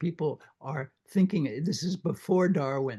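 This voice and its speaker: His voice is somewhat breathy. This man speaks at a fairly high pitch. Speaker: literature professor. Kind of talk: book club discussion.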